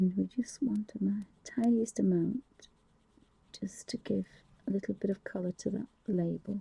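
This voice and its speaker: Whispering and soft-spoken, the speaker keeps a moderate pace broken by long, frequent pauses. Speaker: craft livestreamer. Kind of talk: live painting tutorial. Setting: live stream. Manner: soft-spoken, near whispering; halting.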